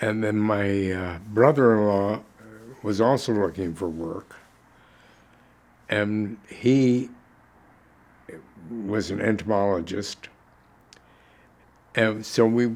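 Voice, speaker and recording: With an American accent, a man speaks very slowly in a fairly low pitch, using ordinary pitch variation and long, frequent pauses. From Chicago, US Midwest. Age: 90s. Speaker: war veteran. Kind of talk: oral history interview. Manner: halting.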